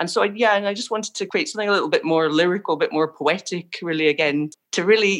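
A woman speaks with a Scottish accent. Her pitch shows ordinary variation. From Scotland. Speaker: visual artist. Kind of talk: interview.

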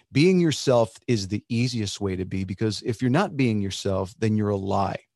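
A man with an American accent talks at a fairly slow pace in a normal speaking voice, medium in pitch. His pitch varies in an ordinary way, and the background is quiet. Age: 50s. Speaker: singer. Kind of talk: podcast interview. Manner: casual, conversational.

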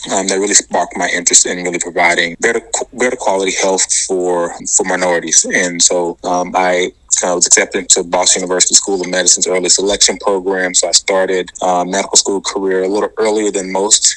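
A man with a very deep, low pitch speaks at a very fast pace. His intonation is monotone and flat, and there is noticeable background noise. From Atlanta, Georgia. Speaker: public health official. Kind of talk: interview.

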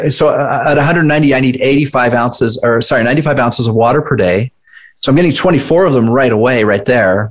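A man with an ordinary speaking voice talks at a moderate pace and medium pitch, with ordinary pitch variation and very even loudness. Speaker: fitness nutrition coach, entrepreneur. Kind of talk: casual interview.

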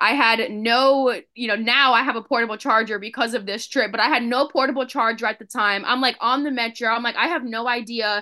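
A woman with an unremarkable speaking voice, fairly high in pitch, with fairly even intonation, hardly any pauses, and a quiet background. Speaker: children's book author. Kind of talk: casual chat.

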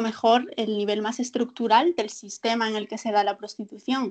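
A woman's fairly high voice with ordinary pitch variation against a quiet background. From Galicia, Spain. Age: 20s. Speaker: social worker. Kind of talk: casual interview chat.

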